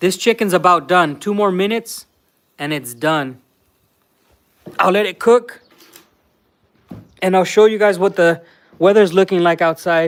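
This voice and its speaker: With an American accent, a man speaks in an animated tone at a high pitch with ordinary pitch variation. His pace is moderate, broken by long, frequent pauses. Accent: Mexican American LA accent, remarked on. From Southern California, Los Angeles (Mexican American). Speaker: vlogger. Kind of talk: live stream chat. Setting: indoors cooking during live stream. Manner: casual, animated.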